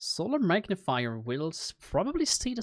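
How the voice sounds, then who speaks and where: The speaker is a man. He has a non-native accent. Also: dry, close sound with no echo. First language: not English. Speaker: game master streaming homebrew design. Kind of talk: live stream think-aloud while writing. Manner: halting, many fillers.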